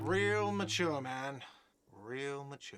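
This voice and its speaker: A man shouts in a put-on character voice. His medium-pitched voice sounds whiny. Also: ordinary pitch variation. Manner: shouting, mocking.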